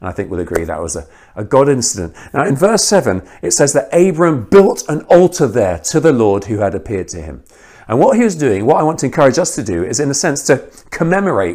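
In a British accent, a man talks at a very fast pace with a fairly high pitch, vocal fry and very wide pitch swings. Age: 40s. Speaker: guest preacher, missionary. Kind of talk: sermon.

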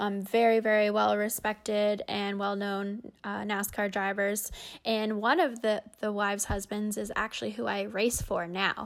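A fairly slow, monotone, flat delivery in a Canadian Prairies accent with hardly any pauses, on a very clean recording with a silent background. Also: woman, medium pitch for a woman. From Canada, Winnipeg, Manitoba. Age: 20s. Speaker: race car driver. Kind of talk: interview.

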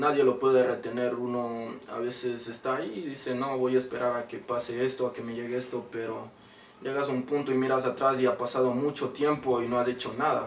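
Over noticeable background noise, a man speaks at a fairly quick pace and medium pitch with monotone, flat intonation. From Ecuador, Quito. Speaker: rapper. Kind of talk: interview.

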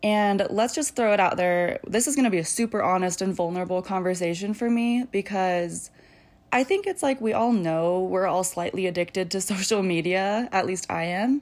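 Against a very clean recording with a silent background, a woman with an unremarkable speaking voice talks at a moderate pace and a medium pitch, with ordinary pitch variation. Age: 20s. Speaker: podcast host, young mother. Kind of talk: casual solo monologue. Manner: casual, frequent filler ums.

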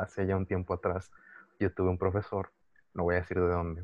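Speaking with a Mexican accent, a man talks at a fairly quick pace in a very deep, low pitch. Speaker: podcast co-host. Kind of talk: casual chat.

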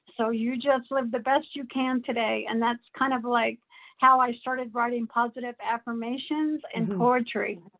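The pace is fairly slow. The intonation stays monotone and flat. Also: woman. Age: 60s. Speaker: author and homeless advocate. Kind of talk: interview. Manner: halting.

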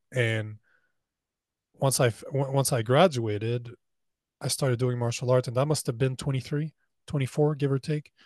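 Using long, frequent pauses, a man speaks at a moderate pace in a medium pitch, somewhat breathy and with fairly even intonation. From Canada. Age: 40s. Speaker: men's coach and entrepreneur. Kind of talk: casual interview.

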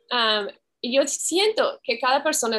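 This is a woman talking. She has an English accent. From US Pacific Northwest. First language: English (speaking Spanish). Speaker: community worker and researcher. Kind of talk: interview. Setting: video call.

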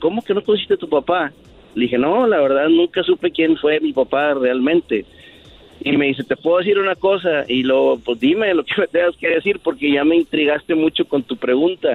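A man with a normal speaking voice talks at a fairly high pitch. His pace is moderate and his intonation lively. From Monterrey, northern Mexico. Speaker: caller. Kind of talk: personal story told on a radio call.

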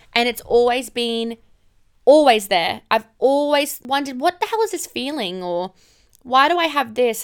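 An animated woman with an Australian accent, lively intonation and a fairly quick pace. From far north Queensland, Australia. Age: 20s. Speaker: podcast host, emergency nurse. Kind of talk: casual personal monologue.

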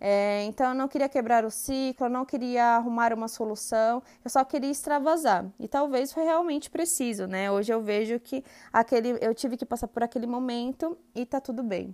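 Recorded very clean against a silent background, with a dry, close sound and no echo, a high-pitched woman speaks at a moderate pace with hardly any pauses and ordinary pitch variation. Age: 20s. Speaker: integrative therapist and podcast host. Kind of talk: personal monologue. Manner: hesitant, many fillers.

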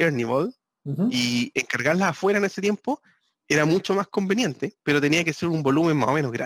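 With a Chilean accent, a man talks fairly quickly in a fairly high voice with lively intonation, the sound dry and close with no echo. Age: 40s. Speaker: guitarist and entrepreneur. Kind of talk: casual chat. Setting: video call.

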